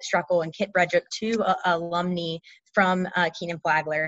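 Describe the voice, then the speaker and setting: A woman with an American accent speaks at a moderate pace in an ordinary speaking voice, her pitch medium. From North Carolina. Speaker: MBA student. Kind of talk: interview.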